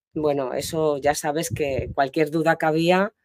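Over a quiet background, a woman speaks at a moderate pace in a very deep, low pitch with a dark, mellow tone, monotone, flat intonation and a dry sound with no echo. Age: 60s. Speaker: diving student. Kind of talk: interview. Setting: in person on location. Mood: warm, grateful, relaxed. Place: open country. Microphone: lapel.

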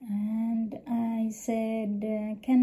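A woman with a non-native accent, somewhat breathy, with a dark, mellow tone, monotone, flat intonation and a very slow pace. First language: not English. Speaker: vlogger. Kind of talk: casual monologue to camera. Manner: halting, many fillers.

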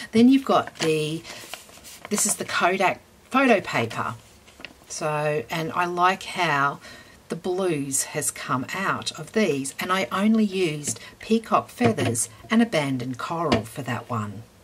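The speaker has an Australian accent and talks at a fairly slow pace with very wide pitch swings. Light background noise can be heard. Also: woman, fairly low pitch for a woman. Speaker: craft YouTuber. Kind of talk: tutorial. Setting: home craft room. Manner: casual, with fillers.

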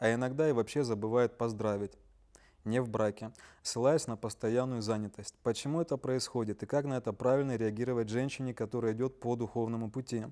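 A man's normal speaking voice at medium pitch, with fairly even intonation and a moderate pace. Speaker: webinar moderator. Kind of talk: reading listener questions. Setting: online livestream.

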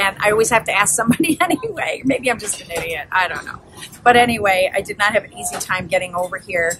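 The speech moves at a very fast pace. Noticeable background noise runs underneath. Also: woman. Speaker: travel vlogger. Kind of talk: casual vlog chat. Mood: chatty, a bit frustrated. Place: cafe. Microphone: phone near.

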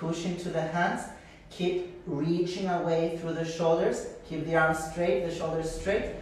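Under light background noise and strong room echo, a man talks at a high pitch. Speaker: yoga teacher. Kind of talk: class instruction. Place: home room. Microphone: video call.

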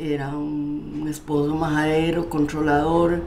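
With a Costa Rican accent, a woman speaks in a very deep, low voice with ordinary pitch variation over light background noise. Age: 80s+. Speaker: documentary subject, mother. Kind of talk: documentary interview, conversation with her daughter. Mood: reflective, recounting hard memories. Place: home room. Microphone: lapel.

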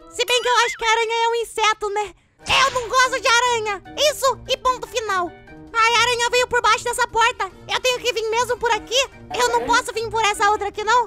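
A cartoonish character voice at a fairly quick pace, with clear music in the background. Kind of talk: kids cartoon voice. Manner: excitable, jumpy, shouting.

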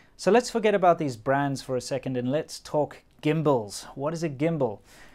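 Music plays faintly behind the recording. A man talks at a moderate pace. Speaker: vlogger. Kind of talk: casual vlog narration. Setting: outdoors in an electronics market. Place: street. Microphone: phone near.

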